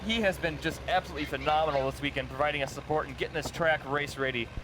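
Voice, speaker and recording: A man with an American accent talks at a very fast pace in a fairly high pitch. Noticeable background noise runs beneath him. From Minnesota, US Midwest. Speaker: live event commentator. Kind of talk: live commentary.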